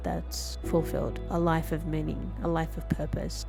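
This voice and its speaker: A woman's very deep, low voice with music playing in the background. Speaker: software business owner. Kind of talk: casual talk to camera.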